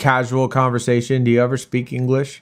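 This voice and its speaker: In a normal speaking voice, a man with an American accent talks at a fairly quick pace and medium pitch, on a very clean recording with a silent background. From Arizona, US. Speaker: mobile game streamer. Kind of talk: casual live-stream chat with viewers. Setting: live stream.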